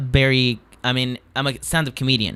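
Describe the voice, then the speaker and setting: This man has a Spanish accent. His pace is moderate. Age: 20s. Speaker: stand-up comedian. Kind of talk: casual chat. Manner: halting.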